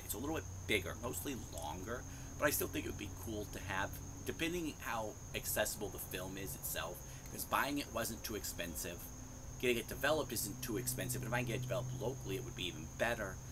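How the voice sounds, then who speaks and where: Noticeable background noise accompanies a man whose fairly low voice races along at a very fast pace. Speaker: hobbyist vlogger. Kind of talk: casual vlog chat. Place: garden. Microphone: lapel.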